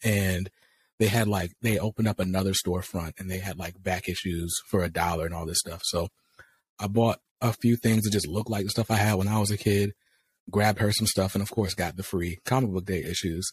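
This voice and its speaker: A somewhat breathy man with an American accent at a fairly quick pace, his intonation fairly even, in a dry, close recording with no echo and a very clean, silent background. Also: fairly low pitch for a man. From US South, North Carolina. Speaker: comics YouTuber. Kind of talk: casual interview.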